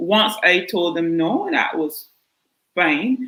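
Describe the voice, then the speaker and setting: This is a woman's voice. She speaks with a strong Barbadian accent. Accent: thick Barbadian. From Barbados. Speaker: podiatrist. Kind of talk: panel discussion.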